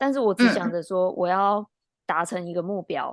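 A woman in a Taiwanese accent with lively intonation. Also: quiet background. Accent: Taiwanese Mandarin. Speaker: athletic trainer and podcast co-host. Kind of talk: casual chat.

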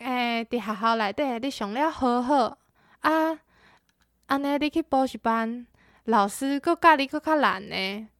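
Very slow and lively in intonation, a woman's high-pitched voice comes through as a dry, close sound with no echo on a very clean recording with a silent background. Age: 20s. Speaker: university student. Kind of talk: prepared personal story.

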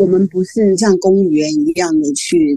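The speaker has a normal speaking voice and lively intonation. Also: woman. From Taiwan. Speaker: novelist. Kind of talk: interview.

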